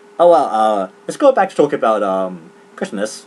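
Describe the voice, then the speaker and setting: There is noticeable background noise. A man speaks with a New Zealand accent. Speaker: gaming commentator. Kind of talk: casual chat. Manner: halting, many fillers; fast.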